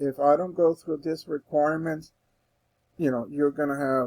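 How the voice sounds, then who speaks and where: A man speaks in a plain, everyday voice at a fairly high pitch and a moderate pace, with fairly even intonation. The sound is dry and close with no echo. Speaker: instructor. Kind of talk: tutorial. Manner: casual, with fillers and restarts.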